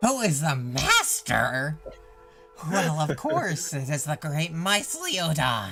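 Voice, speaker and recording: A man's gravelly, put-on character voice, fairly high-pitched and fairly slow, with clear music in the background. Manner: angry, grand, pompous.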